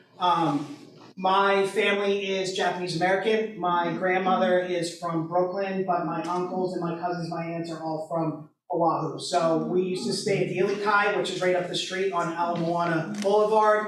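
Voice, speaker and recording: A loud man's high-pitched voice at a moderate pace, monotone and flat, with audible room echo and noticeable background noise. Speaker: realtor and board member. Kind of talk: sponsor remarks, unscripted. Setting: event hall with audience, no microphone. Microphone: no microphone.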